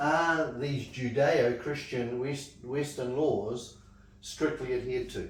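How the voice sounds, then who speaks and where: Over audible room echo, a man talks very slowly in a fairly high, somewhat breathy voice with fairly even intonation. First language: not English. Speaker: Bible study teacher. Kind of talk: Bible study class. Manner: halting.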